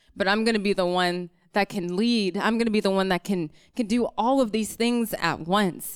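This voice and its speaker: A woman with an American accent has a plain, everyday voice at medium pitch, speaking fairly quickly with fairly even intonation. The recording is very clean with a silent background. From rural North Carolina. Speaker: psychology PhD student. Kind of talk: live storytelling. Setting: stage with audience.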